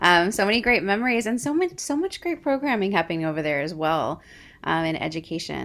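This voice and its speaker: This woman talks at a fairly quick pace with an American accent on a very clean recording with a silent background. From Texas, Houston. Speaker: choreographer and dance educator. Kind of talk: interview conversation.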